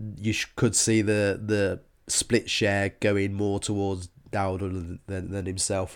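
With a silent background and a very clean recording, a man talks in a fairly low pitch. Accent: British. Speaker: fantasy football podcast host. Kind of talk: casual chat. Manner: stumbling over words.

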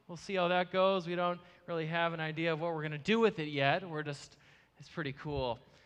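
Speaking in an Upper Midwest accent, a high-pitched man talks at a fairly quick pace with fairly even intonation and big swings in loudness. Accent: Upper Midwest American. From US Midwest (Marshfield, Wisconsin). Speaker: ministry founder, guest speaker. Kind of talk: sermon. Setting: church with live audience.

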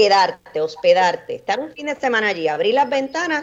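A woman with an ordinary speaking voice talks at a moderate pace. Her intonation is lively. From Puerto Rico, Orocovis. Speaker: coffee grower and entrepreneur. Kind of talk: radio interview.

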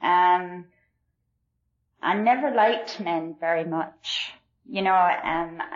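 A woman speaks at a very slow pace. Her tone is warm. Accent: Glasgow. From Glasgow, Scotland. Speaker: AA meeting speaker. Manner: warm, self-deprecating, laughs often.

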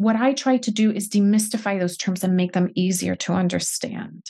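The voice belongs to a woman and is somewhat breathy. She talks at a moderate pace. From Puerto Rico. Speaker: financial coach. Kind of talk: podcast interview.

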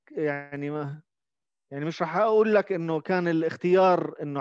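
A man speaks over a quiet background. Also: dry, close sound with no echo. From Jordan. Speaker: musician and composer. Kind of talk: interview.

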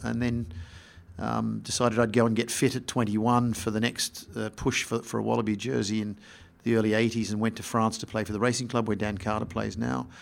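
Speaking with an Australian accent, a man keeps a fairly quick pace, a fairly low pitch and fairly even intonation. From Australia (Sydney and Melbourne). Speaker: sports executive. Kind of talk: interview. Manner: halting, repeats words.

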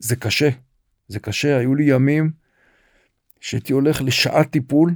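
Pitched fairly high, a man talks at a fairly slow pace with ordinary pitch variation. The recording is very clean, with a silent background. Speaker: retired senior military officer, nonprofit director. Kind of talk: interview, personal testimony.

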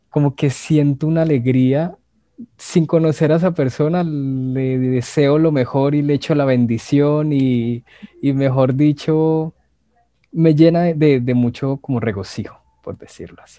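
Fairly slow in pace, a man speaks with a dark, mellow tone at a fairly high pitch. His intonation stays fairly even. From Colombia, Bogotá. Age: 20s. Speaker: language teacher. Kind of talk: casual chat.

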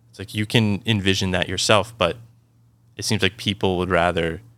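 Over a silent background in a very clean recording, a bright, sharp voice holds a monotone, flat intonation at a moderate pace. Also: man. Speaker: podcast co-host. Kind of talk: casual chat.

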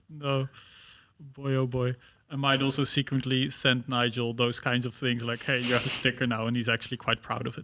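A man with a Dutch accent speaks at a fairly quick pace in a medium pitch, his tone bright and sharp and his intonation monotone and flat, on a very clean recording with a silent background. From Netherlands. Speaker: student podcast host. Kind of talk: casual chat.

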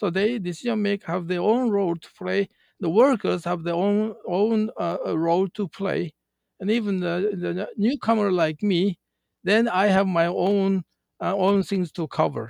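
Fairly slow speech from a high-pitched man with a Japanese accent, ordinary pitch variation, and a dry, close sound with no echo. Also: quiet background. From Japan, countryside. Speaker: retired car company manager. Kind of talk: interview. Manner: halting.

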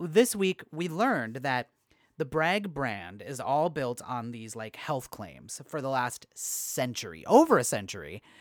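Very slow delivery on a very clean recording with a silent background. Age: 30s.

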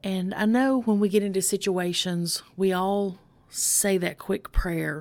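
A woman with a normal speaking voice talks at a fairly slow pace, her medium pitch following fairly even intonation. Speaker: recovery pastor. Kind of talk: devotional encouragement talk with a spoken prayer; fervent prayer, intimate and pleading, spoken in rhymed lines. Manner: fervent, slow, earnest, rhythmic cadence; warm, reverent, pastoral.

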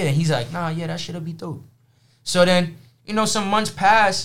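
A man with a New York accent and a high voice talks at a moderate pace with lively intonation amid audible room echo. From Brooklyn, New York. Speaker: streetwear hat designer. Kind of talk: casual chat.

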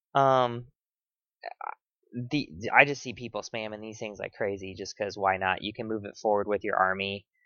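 A man with a normal speaking voice talks at a fairly low pitch and a moderate pace. His intonation stays fairly even, but his loudness swings widely. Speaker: podcast host. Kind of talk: casual chat. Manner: casual, profane.

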